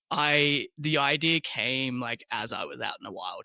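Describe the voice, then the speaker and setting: A man with an Australian accent, bright, sharp tone and dry, close sound with no echo. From Australia, southeastern suburbs of Melbourne. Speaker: small business owner, tour operator. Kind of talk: casual interview.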